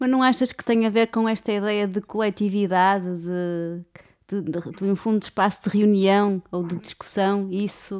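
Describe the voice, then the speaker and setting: A woman with an unremarkable speaking voice talks at medium pitch and a fairly slow pace, her intonation fairly even. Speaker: podcast host. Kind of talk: interview conversation.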